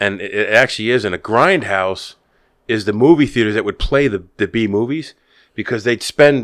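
Against a quiet background, a man with an ordinary speaking voice talks at a fairly quick pace, at a medium pitch with ordinary pitch variation. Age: 50s. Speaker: podcast host. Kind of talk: casual chat.

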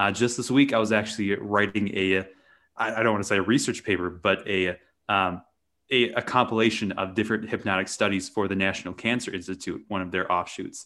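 A man with an American accent speaks at a fairly quick pace. His fairly low voice has a bright, sharp tone. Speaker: hypnotist. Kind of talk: casual interview.

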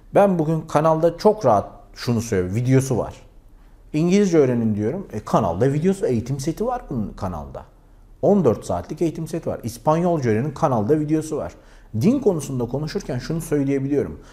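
A man's fairly high-pitched, somewhat breathy voice with a dark, mellow tone, very wide pitch swings and a fairly quick pace. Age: 40s. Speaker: YouTuber. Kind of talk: vlog monologue.

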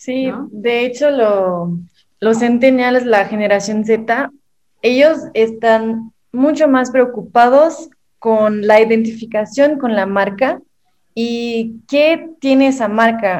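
Speaking at a very slow pace, a woman has a Mexican accent. Her pitch is fairly high. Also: ordinary pitch variation. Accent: Mexican-sounding Spanish. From southern Brazil. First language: Portuguese (speaking Spanish). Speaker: digital marketing specialist. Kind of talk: casual chat.

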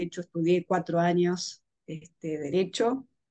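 A woman speaks with a Rioplatense accent. Her pace is fairly slow. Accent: Argentine Rioplatense Spanish. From Argentina. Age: 40s. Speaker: astrologer and tarot reader. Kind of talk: interview. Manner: halting.

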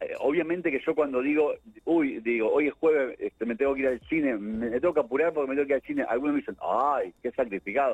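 Very fast talk from a man, fairly high in pitch, with ordinary pitch variation. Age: 60s. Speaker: entertainment journalist and film critic. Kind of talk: casual interview. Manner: halting with many fillers and repetitions.

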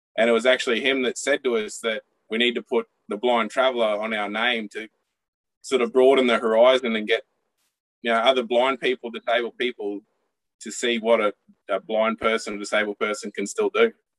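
An Australian-accented man at medium pitch, fairly quick in pace, with monotone, flat intonation. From North Queensland, Australia. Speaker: traveller. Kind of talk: casual interview chat.

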